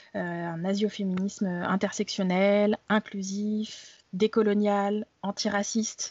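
The delivery is very slow. Intonation stays monotone and flat. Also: woman. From France. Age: 30s. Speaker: blogger and activist. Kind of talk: interview. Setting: remote recording. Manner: hesitant with many fillers and repetitions.

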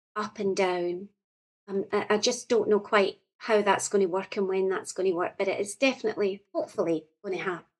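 A woman speaks at a fairly quick pace with a Scottish accent, her pitch sitting in the middle range. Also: fairly even intonation. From Scotland, central region. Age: 40s. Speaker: poet. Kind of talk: casual chat.

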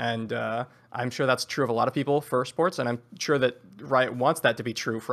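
A man with an American accent, medium-pitched with ordinary pitch variation and vocal fry, on a very clean recording with a silent background. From US West Coast. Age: 20s. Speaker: caller. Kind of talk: casual chat.

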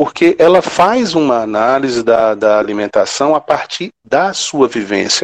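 With a dry, close sound and no echo, a man speaks at a fairly slow pace with hardly any pauses, lively intonation, medium pitch and very even loudness. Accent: Ceará. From Brazil, Ceará (Quixadá). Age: 50s. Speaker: professor and researcher. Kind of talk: podcast interview, lecture-like explanation. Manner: halting, frequent repetitions.

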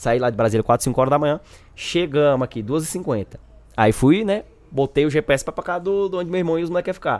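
Using a normal speaking voice, a man talks at a fairly quick pace with a fairly high pitch and lively intonation. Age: 20s. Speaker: gamer guest. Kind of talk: casual chat.

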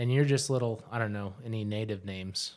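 In an unremarkable speaking voice, a man talks at a moderate pace and medium pitch with ordinary pitch variation, captured on a very clean recording with a silent background. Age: 30s. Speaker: podcast host. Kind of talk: casual chat.

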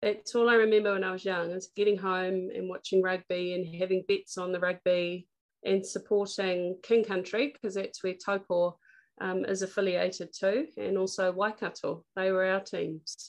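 At a moderate pace, a woman with a New Zealand accent speaks with fairly even intonation. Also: medium pitch for a woman. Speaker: politician and former athlete. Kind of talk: interview.

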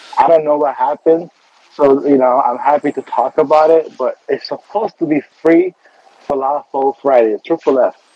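Fairly high male voice at a moderate pace, fairly even in intonation, with a dry, close sound and no echo. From Beirut, Lebanon. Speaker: casting director and actor. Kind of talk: radio interview. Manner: halting, many fillers.

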